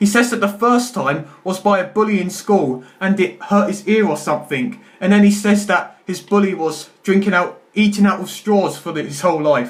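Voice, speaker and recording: A man talks in a high voice with ordinary pitch variation. He barely pauses at all. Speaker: YouTuber. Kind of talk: film review monologue. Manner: fast; stammering.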